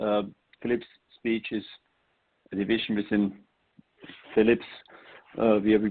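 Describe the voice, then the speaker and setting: A man with an Austrian accent talks at a fairly low pitch. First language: German. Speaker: speech technology executive. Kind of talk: webinar presentation.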